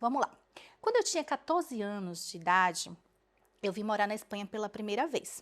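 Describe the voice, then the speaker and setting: On a very clean recording with a silent background, a woman with a fairly high pitch and lively intonation talks at a fairly quick pace, with long, frequent pauses. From Brazil, Bahia. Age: 20s. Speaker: dentist. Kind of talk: personal story vlog. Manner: casual, conversational.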